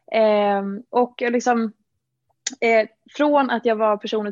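Her intonation stays monotone and flat. The woman's voice sits at a medium pitch. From Dalarna, Sweden. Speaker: fitness influencer and entrepreneur. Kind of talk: interview.

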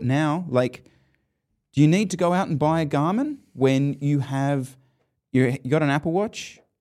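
The recording is very clean, with a silent background. The speech has lively intonation and a moderate pace. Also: man. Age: 40s. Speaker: cycling podcast host. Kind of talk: casual chat. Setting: studio. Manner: animated.

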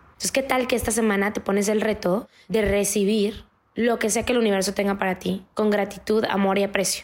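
Here a woman speaks at a moderate pace with a medium pitch. Her intonation stays fairly even. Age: 30s. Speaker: podcast host, life coach. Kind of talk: motivational talk.

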